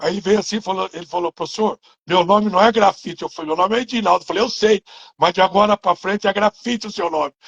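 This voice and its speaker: A man's high-pitched voice races along at a very fast pace. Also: fairly even intonation. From interior of São Paulo state, Brazil. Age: 60s. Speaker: former footballer and coach. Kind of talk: interview.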